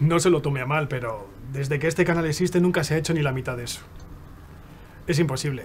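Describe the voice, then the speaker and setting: A man at a very fast pace with long, frequent pauses, ordinary pitch variation and noticeable background noise. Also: fairly high pitch for a man. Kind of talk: dramatic acting scene, casual and coarse dialogue.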